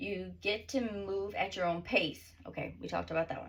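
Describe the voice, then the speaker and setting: Vocal fry runs through a woman's medium-pitched voice. She keeps a moderate pace. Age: 30s. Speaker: author and self-help vlogger. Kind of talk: casual vlog, reading own book with asides. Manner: rambling, halting.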